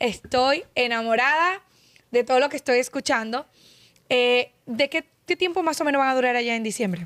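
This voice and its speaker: Against a quiet background, a woman with a high pitch talks at a moderate pace with ordinary pitch variation. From Dominican Republic (La Vega); Dominican Republic. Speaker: podcast host. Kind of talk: casual interview. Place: studio. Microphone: studio mic.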